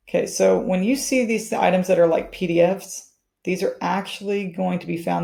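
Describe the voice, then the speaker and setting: The woman's words come out extremely quickly. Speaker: realtor and trainer. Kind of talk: tutorial. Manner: fast.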